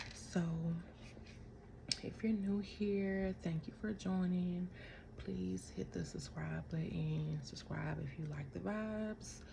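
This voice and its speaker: Someone whispers quietly at a very slow pace with long, frequent pauses, over noticeable background noise. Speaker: vlogger. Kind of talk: casual chat. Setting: at home. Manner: quiet, near whisper.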